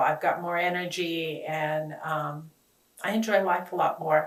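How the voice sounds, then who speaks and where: Her pace is fairly slow. This woman's pitch is fairly low. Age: 70s. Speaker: chiropractic patient. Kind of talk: testimonial interview. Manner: hesitant, many fillers.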